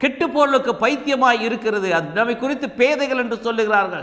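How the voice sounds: A man's extremely high-pitched voice, bright and sharp, moves at a fast pace with ordinary pitch variation.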